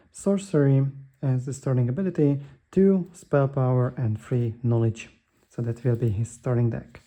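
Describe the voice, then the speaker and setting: A man with a medium pitch and a dark, mellow tone talks somewhat breathily at a moderate pace with ordinary pitch variation. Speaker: board game youtuber. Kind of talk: gameplay tutorial. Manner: hesitant with fillers.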